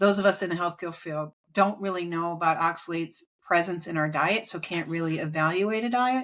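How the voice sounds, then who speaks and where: A woman's plain, everyday voice, fairly low in pitch, fairly quick with ordinary pitch variation, in a very clean recording with a silent background. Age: 60s. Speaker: author and health expert. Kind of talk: interview.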